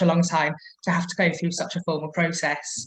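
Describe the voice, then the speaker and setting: A woman with a fairly low pitch speaks in a somewhat breathy voice with monotone, flat intonation. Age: 30s. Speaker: mature student. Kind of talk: testimony.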